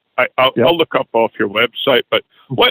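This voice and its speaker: Someone talks at a moderate pace in a normal speaking voice. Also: man. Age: 60s. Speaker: caller, truck driver. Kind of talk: phone-in question. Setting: phone call.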